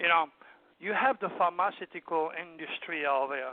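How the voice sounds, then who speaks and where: A man with a French accent speaks at a high pitch. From southern France, Provence. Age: 70s. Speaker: astrologer and hypnotherapist. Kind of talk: interview. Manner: animated.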